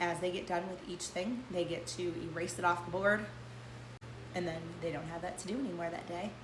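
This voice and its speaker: Speech moves at a fairly quick pace with ordinary pitch variation over noticeable background noise. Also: woman, fairly low pitch for a woman. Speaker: homeschooling parent. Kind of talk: casual talk to camera.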